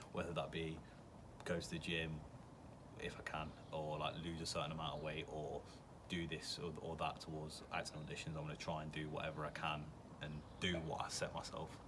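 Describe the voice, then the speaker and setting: With an English accent, a man with a very deep, low voice speaks in a monotone, flat way, taking long, frequent pauses amid audible room echo. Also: fairly quick pace. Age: 20s. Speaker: aspiring actor. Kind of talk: interview answers. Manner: hesitant, with fillers.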